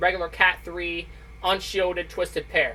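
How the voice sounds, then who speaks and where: A woman at a moderate pace. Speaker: tech YouTuber. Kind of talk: tutorial. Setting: basement at home. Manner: loud; casual.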